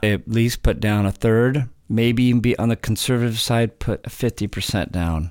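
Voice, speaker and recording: On a very clean recording with a silent background, a man uses a plain, everyday voice with an American accent. His pitch is medium and his intonation fairly even. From California. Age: 50s. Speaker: real estate investor. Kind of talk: casual chat.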